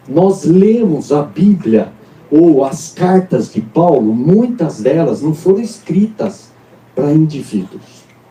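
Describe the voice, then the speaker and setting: Music plays behind a man speaking at a very slow pace. His high pitch moves in very wide swings. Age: 60s. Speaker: pastor. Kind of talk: sermon. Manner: animated.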